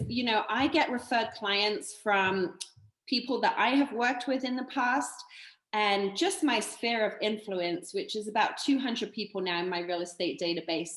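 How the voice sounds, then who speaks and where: A woman with a British accent speaks at a moderate pace in a fairly high pitch. Her intonation is lively. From United Kingdom. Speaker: realtor. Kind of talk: interview.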